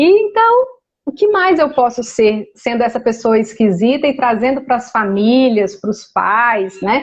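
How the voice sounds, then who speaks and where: A woman's high, animated voice with lively intonation, very even loudness and a fairly slow pace. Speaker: energy therapy facilitator. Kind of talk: casual interview on a live stream. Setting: online live stream.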